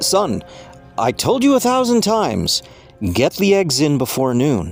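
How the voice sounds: With faint music behind him, a man does a put-on character voice at a fairly slow pace, fairly high in pitch with very wide pitch swings and vocal fry.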